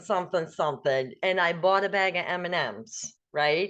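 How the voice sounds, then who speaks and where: In a normal speaking voice, the woman keeps a medium pitch and a moderate pace. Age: 60s. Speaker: guest sharing wellness story. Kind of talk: casual chat.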